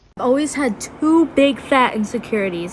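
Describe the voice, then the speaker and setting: A woman talks with lively intonation while noticeable background noise carries on behind her. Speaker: TikTok creator. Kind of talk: casual storytelling.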